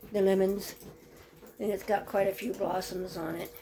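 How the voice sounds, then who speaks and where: This woman talks at a moderate pace with a medium pitch. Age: 80s+. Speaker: farmer. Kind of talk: casual vlog walkthrough. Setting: greenhouse. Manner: halting.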